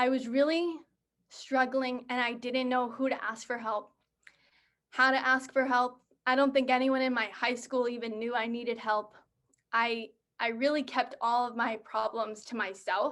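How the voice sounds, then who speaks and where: A woman talks at a moderate pace with a high pitch. Her intonation stays flat and monotone. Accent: American. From Massachusetts, south shore of Boston. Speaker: college student speaker. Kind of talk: personal testimony presentation.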